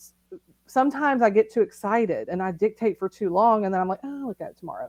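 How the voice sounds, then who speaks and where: A woman's fairly high voice at a very fast pace with lively intonation, in a dry, close sound with no echo. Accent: Southern. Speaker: novelist. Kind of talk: casual interview. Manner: animated.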